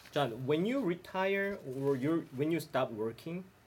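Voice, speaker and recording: A man talks fairly slowly with lively intonation and a somewhat breathy voice. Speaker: study group member. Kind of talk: casual group discussion. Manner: joking, playful.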